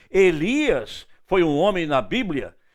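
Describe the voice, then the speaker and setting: On a very clean recording with a silent background, a man with a high pitch speaks with lively intonation. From northeastern Brazil, Recife. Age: 70s. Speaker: evangelist preacher. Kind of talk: sermon.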